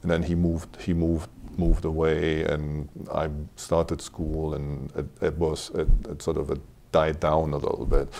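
Very deep, low pitch from a man, with a dark, mellow tone and a fairly slow pace. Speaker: interview guest. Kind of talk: interview answer. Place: studio. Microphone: lapel.

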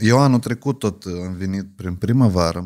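Over a quiet background, a plain, everyday voice moves at a moderate pace with ordinary pitch variation. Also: man. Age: 30s. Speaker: podcast host. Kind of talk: interview. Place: studio. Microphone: studio mic.

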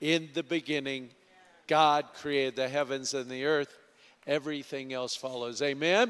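Here a man talks at a fairly slow pace with fairly high pitch. He uses an ordinary speaking voice. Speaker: pastor. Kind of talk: church announcements. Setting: church.

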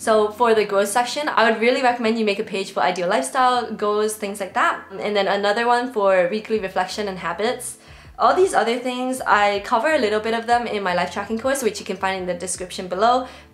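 A woman's very fast speech with ordinary pitch variation. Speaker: productivity creator. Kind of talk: tutorial. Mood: friendly, upbeat. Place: home room.

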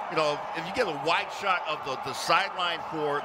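Noticeable background noise sits behind a man with a fairly high pitch. He speaks at a fairly slow pace with ordinary pitch variation. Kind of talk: live sports commentary, color analyst. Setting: broadcast booth at game.

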